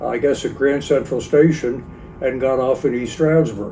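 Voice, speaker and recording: A man with a Pennsylvania accent talks at a fairly slow pace, his fairly high pitch held in fairly even intonation. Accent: Northeastern US (Pennsylvania). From Pennsylvania, Monroe County. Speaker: retired real estate agent, local elder. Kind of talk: oral history interview.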